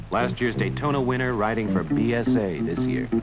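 A man talks at a moderate pace over loud background music, the sound dry with no echo. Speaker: film narrator. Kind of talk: documentary commentary. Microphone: old recording.

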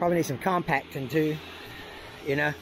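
A man at a fairly quick pace with fairly even intonation, a dry sound with no echo, and noticeable background noise. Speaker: tractor operator. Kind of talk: casual talk to camera. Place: open country. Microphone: phone near.

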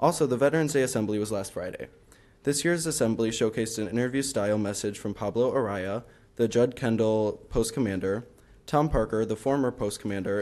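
A man is speaking. He goes at a fairly quick pace with ordinary pitch variation. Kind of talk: report read aloud. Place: meeting room. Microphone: podium.

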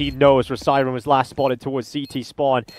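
Background noise is clearly there. The talking runs fairly quick. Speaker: esports commentator. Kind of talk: live esports commentary. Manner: animated; fast, excitable play-by-play.

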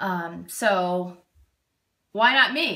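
A woman speaks with an American accent against a quiet background. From Massachusetts. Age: 30s. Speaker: reality show applicant. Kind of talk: audition video. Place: kitchen. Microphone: phone near.

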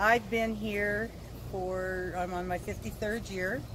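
A woman is heard over noticeable background noise. The sound is dry, with no echo. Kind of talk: interview answer. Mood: warm, cheerful. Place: street.

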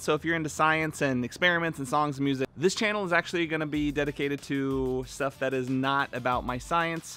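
Faint music sits in the background. Over it, a man speaks at a very fast pace. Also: dry sound with no echo. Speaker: car channel host. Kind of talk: casual vlog chat. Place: street. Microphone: phone near.

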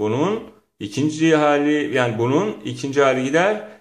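Fairly slow speech from a man with a fairly high voice, audible room echo around it. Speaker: English teacher. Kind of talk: lecture. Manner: animated.

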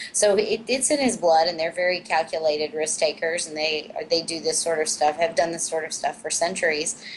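Over noticeable background noise, a woman with an American accent speaks fairly quickly and fairly low, with hardly any pauses. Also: ordinary pitch variation. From US Midwest. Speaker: online talk show co-host. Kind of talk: casual panel discussion. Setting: remote link-up.

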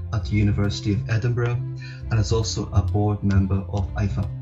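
Clear music plays in the background as a man speaks at a moderate pace in a fairly low pitch. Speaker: podcast host. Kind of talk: scripted introduction. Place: home room. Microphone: video call.

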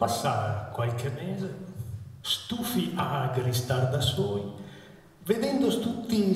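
The intonation is lively and the pace very slow. Room echo is audible. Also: man. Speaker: author and performer. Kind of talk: humorous dialect poetry performance. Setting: live outdoor evening event. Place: church.

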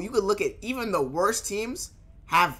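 A man projects a raised voice with a bright, sharp tone. His intonation is lively and his pace moderate. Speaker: streamer. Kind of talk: casual reaction chat. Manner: casual, conversational. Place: home room.

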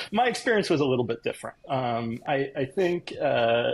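A man's somewhat breathy voice swings very widely in pitch. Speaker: remote podcast guest. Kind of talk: interview answer. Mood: amused, self-deprecating. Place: home room. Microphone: earbuds.

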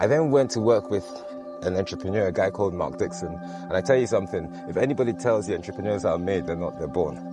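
A man speaks very fast with a very deep, low pitch. Clear music plays in the background, and the sound is dry with no echo. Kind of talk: interview answer. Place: beach. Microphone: lapel.

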